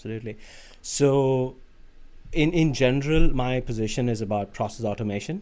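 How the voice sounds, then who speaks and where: On a very clean recording with a silent background, a man with an Indian accent speaks at medium pitch with ordinary pitch variation and long, frequent pauses. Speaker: automation engineer on an industry research placement. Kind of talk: podcast interview. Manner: halting, with many fillers and restarts.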